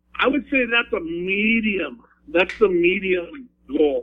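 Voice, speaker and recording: A man with an Upper Midwest accent, very slow pace and lively intonation. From Wyoming. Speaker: veteran and school teacher. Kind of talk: interview.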